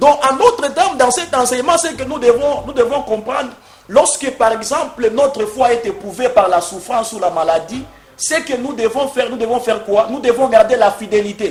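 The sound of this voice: A man speaks at an extremely high pitch and a moderate pace, with ordinary pitch variation and few pauses.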